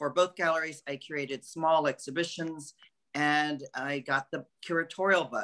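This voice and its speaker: A man with an American accent speaks at a moderate pace in a fairly high pitch, his tone bright and sharp against a quiet background. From California. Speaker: art curator; guest. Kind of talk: interview. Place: home room. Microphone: video call.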